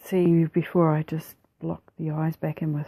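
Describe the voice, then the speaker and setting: A woman speaks with a New Zealand accent. The sound is dry and close, with no echo. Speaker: mixed media artist. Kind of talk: art process tutorial voiceover. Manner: casual, hesitant.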